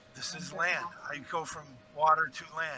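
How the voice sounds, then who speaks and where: Over clear background noise, a man puts on a raspy character voice at a fairly high pitch, speaking at a moderate pace in a monotone, flat way. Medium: actual play. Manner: terse, simple speech.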